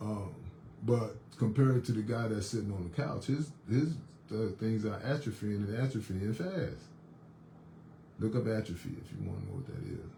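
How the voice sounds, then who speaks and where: Somewhat breathy with a dark, mellow tone, the man speaks at a medium pitch and moderate pace with ordinary pitch variation and long, frequent pauses. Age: 60s. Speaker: fitness instructor. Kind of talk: casual monologue. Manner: halting, many repetitions and fillers.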